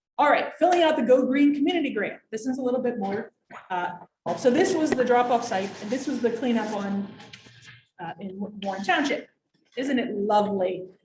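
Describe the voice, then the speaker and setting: Lively intonation runs at a fairly quick pace, with audible room echo around the voice. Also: woman. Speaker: waste district director presenting grants. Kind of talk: informational workshop presentation. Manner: fast.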